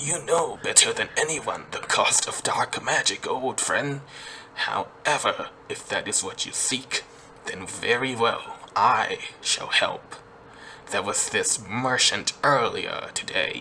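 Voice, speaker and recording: A man's put-on character voice at a fairly slow pace, with clear background noise. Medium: read story.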